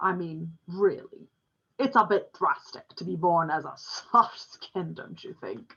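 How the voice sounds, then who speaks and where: A female-sounding voice puts on a booming character act. The tone is resonant. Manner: grunting, wry, slightly scolding.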